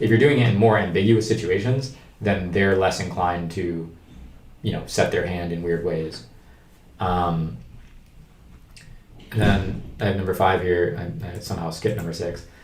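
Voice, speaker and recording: Audible room echo surrounds the voice. The pace is moderate, pitch variation ordinary, with long, frequent pauses. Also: man, very deep, low pitch for a man. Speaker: card game streamer and coach. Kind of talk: livestream tutorial. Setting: livestream. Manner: casual.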